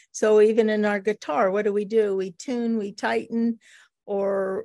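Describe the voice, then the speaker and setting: At a fairly slow pace, a woman with a fairly high pitch, a dark, mellow tone and ordinary pitch variation speaks against a quiet background, the sound dry and close with no echo. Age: 70s. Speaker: marriage and family therapist. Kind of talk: casual interview.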